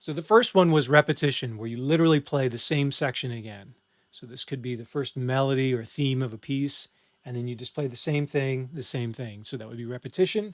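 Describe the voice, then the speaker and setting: In a very clean recording with a silent background, a normal speaking voice moves at a fairly quick pace with ordinary pitch variation and big swings in loudness. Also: man, medium pitch for a man. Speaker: music instructor. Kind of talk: exam review lecture. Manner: casual.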